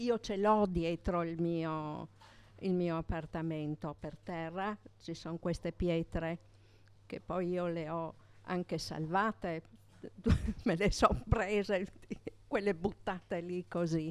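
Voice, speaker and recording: A woman with a fairly low pitch speaks at a very slow pace, leaving long, frequent pauses. Her intonation is fairly even, and the recording is very clean with a silent background. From Gorizia, Italy. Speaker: neighbourhood resident. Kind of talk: storytelling. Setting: bar with audience.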